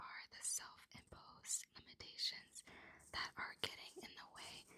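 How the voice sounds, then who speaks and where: A woman is whispering. She keeps a moderate pace. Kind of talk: ASMR reading aloud from a self-help book. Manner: whispered, close up, soft.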